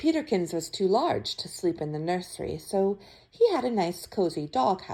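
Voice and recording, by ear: Throughout, the passage is read aloud in a natural voice.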